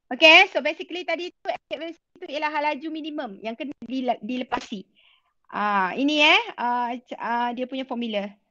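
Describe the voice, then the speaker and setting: A raised, projected voice with a bright, sharp tone and lively intonation at a moderate pace, dry with no echo against a quiet background. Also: woman, high pitch for a woman. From Malaysia. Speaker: secondary school physics teacher. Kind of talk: online class lecture. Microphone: video call.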